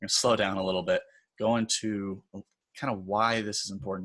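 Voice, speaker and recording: A man's medium-pitched voice, bright and sharp in tone, over a quiet background. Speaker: design instructor. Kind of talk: tutorial. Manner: casual, conversational.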